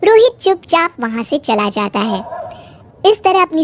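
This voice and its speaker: A woman's cartoonish character voice with very wide pitch swings, dry and close with no echo. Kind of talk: moral storytelling. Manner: even, plain.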